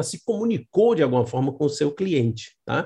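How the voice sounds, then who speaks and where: Man with very wide pitch swings, quiet background. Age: 60s. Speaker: author and communication scholar. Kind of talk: interview.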